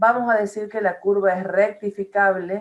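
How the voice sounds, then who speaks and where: Speaking at a fairly slow pace, a woman uses a normal speaking voice. Her pitch is medium. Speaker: math professor. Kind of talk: lecture.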